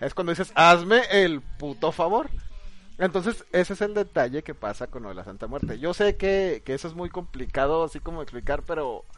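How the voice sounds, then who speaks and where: At a moderate pace, a man speaks with a high pitch and lively intonation. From northern Mexico. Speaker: podcast co-host. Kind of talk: storytelling; casual group chat.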